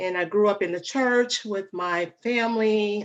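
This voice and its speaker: Intonation stays fairly even as a woman talks. She has a slight Alabama accent. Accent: slight Alabama twang. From US South, Alabama. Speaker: relationship coach. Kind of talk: interview.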